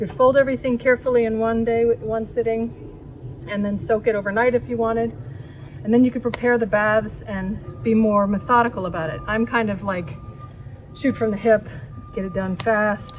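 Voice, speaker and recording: A woman with an American accent speaks at a moderate pace and a fairly high pitch, her intonation fairly even. She leaves long, frequent pauses while music plays in the background. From San Francisco area, US West Coast. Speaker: art teacher. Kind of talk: tutorial. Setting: outdoors.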